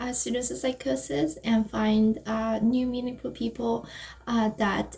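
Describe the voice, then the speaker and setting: The voice is somewhat breathy with a dark, mellow tone, moving at a fairly slow pace. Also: woman. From Canada. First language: not English (native language other than English). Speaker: panelist, former executive board member of a peer community. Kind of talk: panel discussion. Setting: video call. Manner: halting, many fillers.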